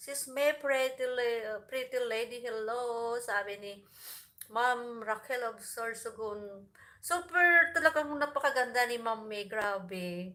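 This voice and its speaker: This woman speaks at a very slow pace in a high, bright, sharp voice. Her loudness swings widely while her pitch varies an ordinary amount. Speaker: vlogger. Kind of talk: livestream chat with viewers. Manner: cheerful, frequent laughter.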